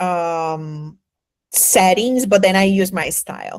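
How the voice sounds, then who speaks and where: A woman speaks at a very slow pace with fairly even intonation on a very clean recording with a silent background. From Brazil. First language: Portuguese. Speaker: podcast host, hospitality professional. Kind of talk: podcast interview.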